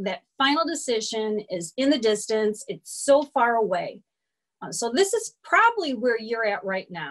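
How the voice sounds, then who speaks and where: A woman talks at a fairly slow pace, her pitch swinging very widely. The background is quiet. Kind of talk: presentation talk. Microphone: webcam.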